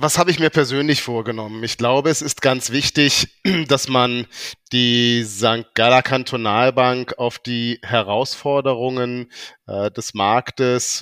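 On a very clean recording with a silent background and a dry, close sound with no echo, a man talks at a very slow pace with a medium pitch. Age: 50s. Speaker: bank executive. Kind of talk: corporate interview. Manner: hesitant with filler sounds.

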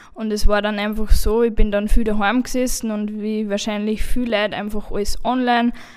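Noticeable background noise surrounds a woman with a fairly high pitch who talks at a fairly quick pace with hardly any pauses. Her intonation is monotone and flat, yet her loudness swings widely. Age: 20s. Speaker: carpentry apprentice. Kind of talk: panel discussion.

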